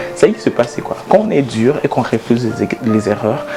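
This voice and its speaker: Medium-pitched male speech at a fairly quick pace over music in the background. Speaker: motivational speaker. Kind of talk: motivational talk to camera. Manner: animated; halting.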